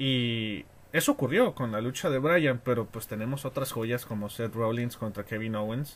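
This man has a plain, everyday voice at a medium pitch. He talks at a moderate pace. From Mexico, Tijuana. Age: 20s. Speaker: wrestling fan. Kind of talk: casual chat.

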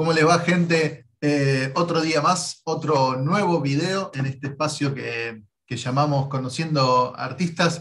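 Talking at a very slow pace, a man uses a fairly high pitch. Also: fairly even intonation. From Argentina. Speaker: YouTube interviewer, comic artist. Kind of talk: casual interview. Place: home room. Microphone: video call.

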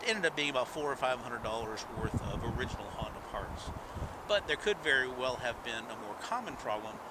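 A man at a fairly quick pace, dry with no echo, over loud background noise. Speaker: motorcycle owner reviewer. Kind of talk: motorcycle review narration.

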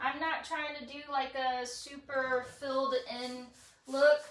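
At a high pitch and fairly slow pace, a woman speaks with audible room echo around her. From Texas. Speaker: furniture painter and boutique owner. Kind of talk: live painting tutorial. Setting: garage, livestream. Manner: chatty, animated. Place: workshop.

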